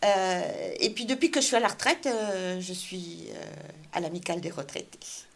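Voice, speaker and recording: The recording is very clean, with a silent background. A woman speaks at a moderate pace with big swings in loudness. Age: 60s. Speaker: local politician, municipal candidate. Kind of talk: interview. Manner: hesitant, many fillers.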